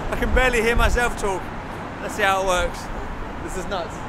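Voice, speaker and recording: A man's dry, echo-free voice competes with loud background noise. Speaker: tech reviewer. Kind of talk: casual vlog chat. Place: street.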